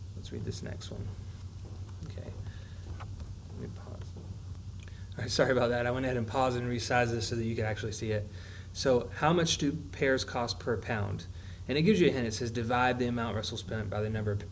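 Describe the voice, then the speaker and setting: A somewhat breathy man at medium pitch, fairly quick in pace yet with long, frequent pauses, ordinary pitch variation and audible room echo. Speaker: math teacher. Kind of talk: tutorial. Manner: fast.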